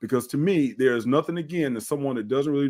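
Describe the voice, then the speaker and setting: Very fast speech from a man with a medium pitch and a dark, mellow tone, ordinary pitch variation, and a very clean recording with a silent background. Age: 50s. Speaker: fitness trainer and bodybuilder. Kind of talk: podcast interview.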